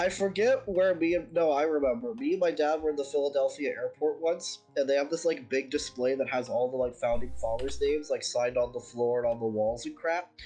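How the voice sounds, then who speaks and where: With an American accent, a man talks at a fairly quick pace in a fairly high pitch, his intonation lively, as music plays in the background. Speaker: streamer. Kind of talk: casual chat. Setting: live stream.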